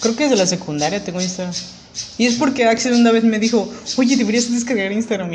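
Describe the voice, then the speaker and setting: The speaker has a Mexican accent. Noticeable background noise runs under the voice. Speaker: podcast co-host. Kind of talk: casual chat.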